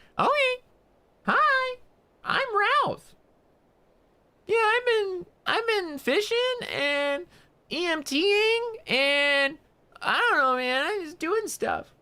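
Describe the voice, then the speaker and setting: A man puts on a squeaky, strained character voice at an extremely high pitch. He goes at a very slow pace with long, frequent pauses. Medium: virtual streamer. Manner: lisping, dragging certain words.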